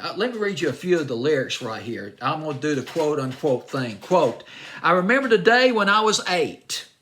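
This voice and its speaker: Speaking at a fairly quick pace with a Southern US accent, a man sounds animated, his bright, sharp tone moving through very wide pitch swings. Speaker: music radio-style countdown host. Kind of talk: music review monologue.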